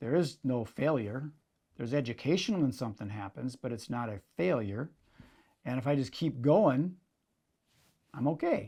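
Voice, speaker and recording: With an Upper Midwest accent, a man speaks at a moderate pace, leaving long, frequent pauses. His voice is medium-pitched, dark and mellow, with lively intonation. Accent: Upper Midwest (Minnesota). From Minnesota, Minneapolis area. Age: 60s. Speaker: magician and event entrepreneur. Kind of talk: interview. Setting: in-person sit-down interview.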